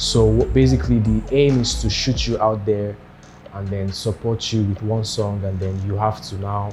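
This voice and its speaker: A man's fairly low voice at a moderate pace, with ordinary pitch variation and music in the background. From Nigeria, Lagos. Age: 20s. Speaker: singer and producer. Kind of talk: interview monologue.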